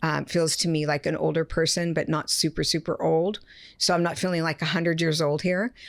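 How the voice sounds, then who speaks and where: A woman speaks at a fairly quick pace and a fairly low pitch with vocal fry, monotone, flat intonation and very even loudness, on a very clean recording against a silent background. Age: 60s. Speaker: medium. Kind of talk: live psychic reading in podcast chat.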